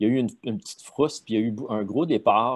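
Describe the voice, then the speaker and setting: Against a quiet background, a man with a Quebec accent speaks at a medium pitch and a moderate pace, using ordinary pitch variation. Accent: Québécois French. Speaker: sales consultant, former media sales executive. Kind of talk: casual interview.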